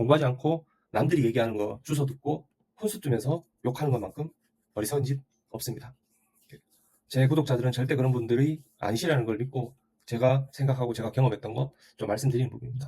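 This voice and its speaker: A man's dark, mellow, somewhat breathy voice at medium pitch with ordinary pitch variation, very fast in pace yet broken by long, frequent pauses. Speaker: real estate YouTuber. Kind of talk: opinion monologue. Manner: assertive.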